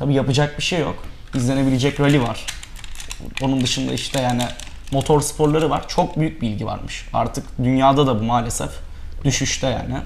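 Fairly even intonation from a man at a moderate pace, over light background noise. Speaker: rally co-driver; guest. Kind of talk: interview. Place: studio. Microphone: lapel.

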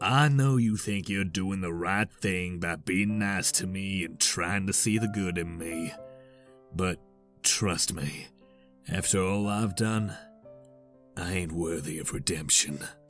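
A man's put-on character voice, very deep and low, fairly slow with long, frequent pauses, over clear background music. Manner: subdued, solemn, gruff.

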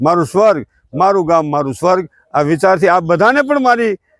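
A man's high-pitched voice with lively intonation. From Gujarat, Rajkot district (Gondal). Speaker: social worker and writer. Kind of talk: speech to camera.

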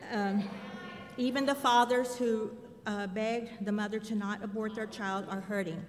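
A woman with an American accent speaks at a moderate pace and a fairly high pitch, with fairly even intonation. Light background noise is present. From San Antonio, Texas; Texas. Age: 60s. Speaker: ministry director, public commenter; public commenter. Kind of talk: public comment at city council. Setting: city council chamber. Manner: some hesitation, fillers. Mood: earnest, emotional advocacy. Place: hall. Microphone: podium.

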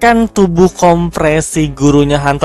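Faint music plays in the background as a man with a high pitch talks at a moderate pace, with ordinary pitch variation and a dry sound with no echo. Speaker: reaction video creator. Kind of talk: casual review commentary. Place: home room. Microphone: headset.

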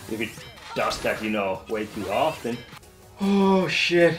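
A man talks over clear music in the background. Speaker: streamer playing fitness game. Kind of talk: excited gameplay commentary.

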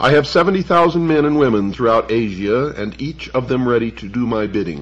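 Speaking at a moderate pace, a man uses lively intonation with vocal fry in his voice. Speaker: radio show host. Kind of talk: reading a historical text aloud on radio.

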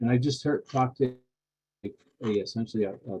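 A man talks in a dark, mellow tone that is somewhat breathy. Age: 60s. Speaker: public commenter at city council meeting. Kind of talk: public comment. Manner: halting, many fillers.

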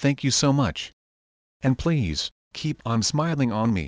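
With a quiet background, a plain, everyday voice keeps a moderate tempo and shows ordinary rises and falls in pitch. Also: man, dry, close sound with no echo. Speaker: prayer leader. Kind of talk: fervent guided prayer, earnest devotional address to God. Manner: earnest, heartfelt, reverent.

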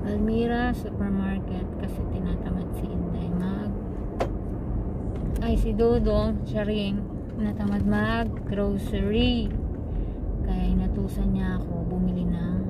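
A woman speaks at a very slow pace with long, frequent pauses over loud background noise. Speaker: driver vlogger. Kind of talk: casual vlog chat. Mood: playful, joking. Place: car.

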